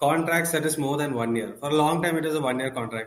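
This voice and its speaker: With ordinary pitch variation, a man talks in a normal speaking voice that sits fairly high. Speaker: podcast host. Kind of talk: casual chat about football.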